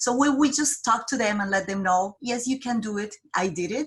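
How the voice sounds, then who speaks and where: Speaking at a moderate pace, a woman with a Colombian accent has a bright, sharp tone. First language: Spanish. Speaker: job developer. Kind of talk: interview. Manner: halting.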